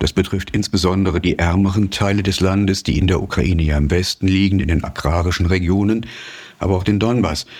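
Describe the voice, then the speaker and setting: The intonation is fairly even. Noticeable background noise can be heard. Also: man. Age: 60s. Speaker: journalist and author. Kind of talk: interview. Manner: frequent hesitations (äh, ähm).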